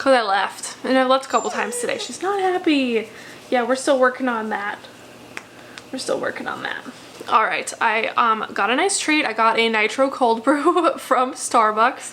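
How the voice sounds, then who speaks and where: Noticeable background noise surrounds a woman speaking at a high pitch with lively intonation. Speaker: math instructor. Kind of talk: casual course overview video. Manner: fast; chatty, informal.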